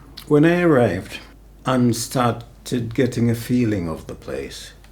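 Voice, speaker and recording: A very slow pace with audible room echo. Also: man. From Jamaica. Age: 80s+. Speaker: former bus worker and housing worker. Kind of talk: documentary interview.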